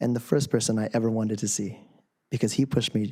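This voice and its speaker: Speaking at a fairly quick pace with an American accent, a man has a medium pitch, a dark, mellow tone, and fairly even intonation. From Camarillo, California. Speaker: college student, public commenter. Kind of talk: public comment speech. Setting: city council chamber.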